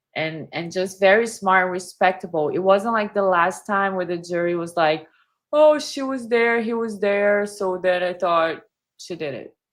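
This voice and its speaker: In a Brazilian Portuguese accent, a woman speaks at medium pitch and a moderate pace, with ordinary pitch variation. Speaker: body language analyst, YouTuber. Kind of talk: casual chat. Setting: live stream.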